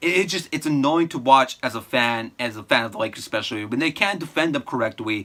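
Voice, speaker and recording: A man speaks at a fairly quick pace in an animated tone that is bright and sharp. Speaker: sports commentator YouTuber. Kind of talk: fan reaction recap.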